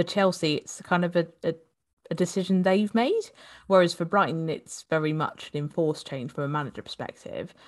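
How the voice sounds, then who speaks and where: In a plain, everyday voice, a woman speaks at a fairly quick pace and fairly low pitch with ordinary pitch variation against a quiet background. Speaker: podcast co-host. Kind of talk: casual chat about fantasy football.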